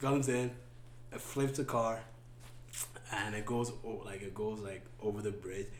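Amid noticeable background noise, a man with a fairly low pitch speaks fairly slowly and fairly evenly, leaving long, frequent pauses. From born in Ethiopia to Sudanese parents, raised in western Canada. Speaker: podcast guest. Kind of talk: casual interview chat. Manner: halting, repeats words often.

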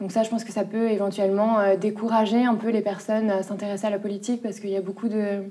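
A woman speaks very fast at a medium pitch, in a flat monotone with hardly any pauses, over noticeable background noise. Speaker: junior notary office employee. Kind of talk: documentary interview. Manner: hesitant, many filler sounds.

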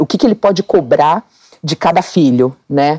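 In a dry, close sound with no echo, a woman with a fairly low pitch and a dark, mellow tone speaks at a moderate pace with lively intonation. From Brazil, Mato Grosso (Cuiabá). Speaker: dermatologist and former competitive swimmer. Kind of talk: interview conversation.

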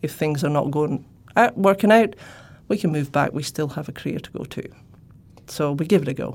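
In a Shetland accent, a woman talks at a fairly quick pace in a very deep, low pitch, with lively intonation and big swings in loudness. She leaves long, frequent pauses. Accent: Scottish (Shetland). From Scotland, Shetland. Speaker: professor. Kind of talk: interview.

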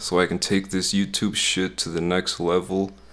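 Very deep and low, a man's voice with vocal fry moves at a fairly slow pace. The recording is very clean, with a silent background. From US Midwest. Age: 20s. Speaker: music producer and YouTuber.

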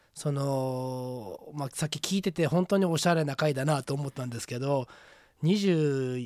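A man with a normal speaking voice and a fairly high pitch talks at a fairly slow pace with ordinary pitch variation, the sound dry and close with no echo. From Hyogo, Japan (Kawanishi). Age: 30s. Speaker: plant hunter. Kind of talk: radio interview.

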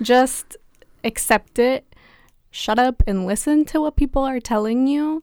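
Speaking at a fairly slow pace, a woman uses a high pitch with ordinary pitch variation, in a dry, close sound with no echo. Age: 20s. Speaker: university student. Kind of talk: casual chat.

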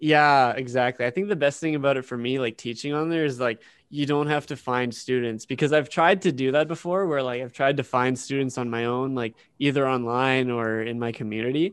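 A man with an ordinary speaking voice, medium pitch, ordinary pitch variation and a fairly quick pace, over a quiet background. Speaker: podcast co-host. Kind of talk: casual chat.

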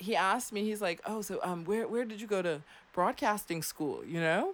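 At a moderate pace, a woman with a Floridian accent speaks in an animated tone. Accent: Florida American. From US South. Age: 30s. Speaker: radio host. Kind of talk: casual chat. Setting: studio.

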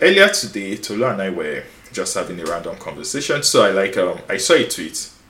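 A man talks fairly quickly, and room echo is audible around his words. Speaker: podcast host, tech company co-founder. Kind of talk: casual chat.

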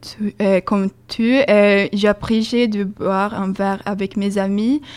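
In a Swedish accent, a woman speaks at a medium pitch with monotone, flat intonation. The recording is very clean, with a silent background. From Sweden. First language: Swedish (speaking French). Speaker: student volunteer. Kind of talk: casual radio chat.

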